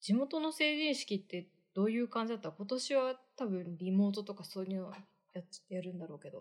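In an unremarkable speaking voice, a woman talks at medium pitch and a fairly quick pace, her intonation lively and her loudness swinging widely. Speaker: podcast co-host. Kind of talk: casual chat.

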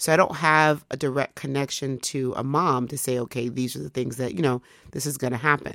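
The recording is very clean with a silent background, carrying a woman's very deep, low-pitched voice and fairly even intonation. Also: fairly quick pace. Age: 40s. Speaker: podcast host and English teacher. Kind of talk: solo podcast monologue. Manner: casual, conversational with many fillers.

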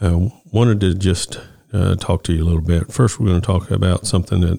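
This man has a very deep, low pitch and a dark, mellow tone. He speaks at a moderate pace. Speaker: podcast host. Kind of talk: solo podcast monologue. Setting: studio. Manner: halting, many fillers.

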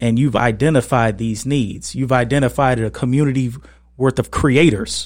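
A man speaks in a normal speaking voice at a medium pitch and a moderate pace, with fairly even intonation. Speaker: podcast host.

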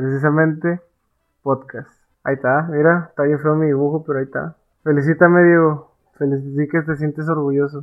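A man at a fairly quick pace, fairly high in pitch, with monotone, flat intonation. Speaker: podcast co-host, amateur illustrator. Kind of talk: casual chat.

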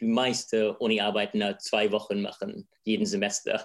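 Monotone, flat intonation comes from a man at a medium pitch. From England. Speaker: filmmaker. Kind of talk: interview.

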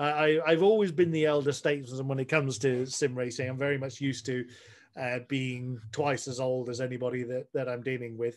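A man with an English accent talks at a fairly quick pace. His pitch is medium and his intonation fairly even. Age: 40s. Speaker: sim racer. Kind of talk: casual chat. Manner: halting.

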